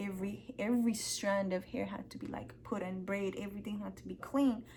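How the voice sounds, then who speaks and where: A woman with a non-native accent talks at a moderate pace, her medium-pitched voice somewhat breathy. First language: not English. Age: 20s. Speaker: hair care vlogger. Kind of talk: tutorial. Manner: casual, filler-heavy.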